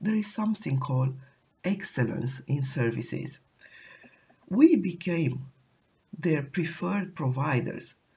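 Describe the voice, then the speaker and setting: A woman with a very deep, low pitch talks at a moderate pace, somewhat breathy and with lively intonation. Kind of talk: solo podcast monologue. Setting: recorded while traveling in Turkey.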